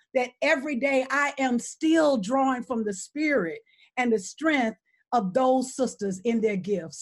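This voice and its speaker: A woman with an Alabama accent, fairly high pitch, lively intonation and a moderate pace. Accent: Southern US (Alabama). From US South, Selma, Alabama. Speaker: political organizer. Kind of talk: panel discussion. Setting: video call.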